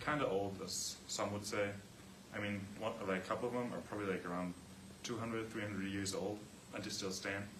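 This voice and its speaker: With audible room echo and noticeable background noise, a man talks at a very fast pace yet leaves long, frequent pauses. His pitch is fairly low and his intonation fairly even. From Austria, Vienna. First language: German. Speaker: student athlete. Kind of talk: class presentation.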